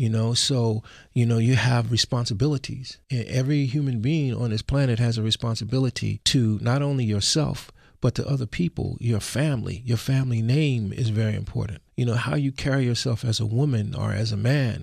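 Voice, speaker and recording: A man with an American accent speaks in a plain, everyday voice at a medium pitch, fairly quick with hardly any pauses. His intonation is fairly even, his loudness very even, and the background quiet. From US Northeast, West Philadelphia. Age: 60s. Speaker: musician and karate instructor. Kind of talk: radio interview. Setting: radio studio.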